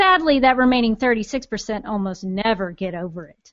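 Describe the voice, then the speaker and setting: A nasal, female-sounding put-on character voice sits at a fairly high pitch. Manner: sarcastic, sassy, teasing.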